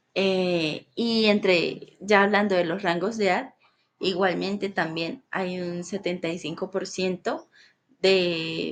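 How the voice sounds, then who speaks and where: A woman's medium-pitched voice at a very slow pace with fairly even intonation against a quiet background. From Colombia, Bucaramanga (Santander). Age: 20s. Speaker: student. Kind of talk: class presentation. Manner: halting, with fillers.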